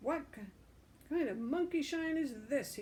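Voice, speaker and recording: A woman's growling, put-on character voice, high in pitch, raised and projected, at a moderate pace. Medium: read story. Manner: growling, sarcastic.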